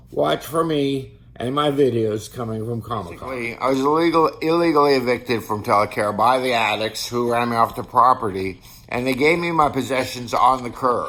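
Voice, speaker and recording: A man with a medium pitch and ordinary pitch variation talks fairly quickly while noticeable background noise plays behind him. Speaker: artist and homeless vlogger with schizophrenia. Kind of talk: personal video diary. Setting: outdoors at a bus stop.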